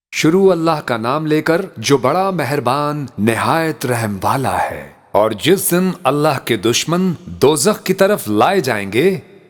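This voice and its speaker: A man's fairly high voice carries lively intonation through noticeable background noise. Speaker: voice-over narrator. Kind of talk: religious scripture translation reading.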